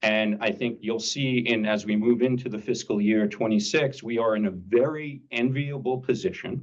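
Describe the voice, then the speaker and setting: Speaking at a moderate pace with hardly any pauses, a man keeps a medium pitch with ordinary pitch variation. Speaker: village council member presenting budget. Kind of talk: council meeting budget presentation. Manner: loud; hesitant, many fillers.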